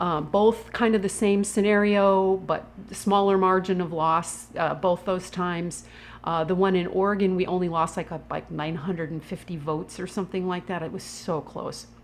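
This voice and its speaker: Here a woman speaks in an ordinary speaking voice at a moderate pace. Her pitch is medium, with fairly even intonation. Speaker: food activist. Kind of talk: casual talk to camera.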